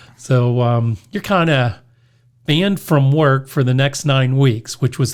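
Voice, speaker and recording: In an American accent, an unremarkable speaking voice keeps a moderate pace and ordinary pitch variation. A silent background marks this very clean recording. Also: man. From US, Pittsburgh area, western Pennsylvania. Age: 60s. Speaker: hardware store owner and radio show host. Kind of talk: casual interview, storytelling.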